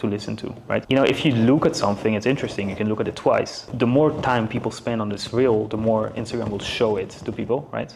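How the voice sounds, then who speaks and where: Over noticeable background noise, a man with a non-native accent talks at a very fast pace with fairly even intonation. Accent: non-native English accent, reduced. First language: not English. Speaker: business and content coach. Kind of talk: casual chat. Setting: studio.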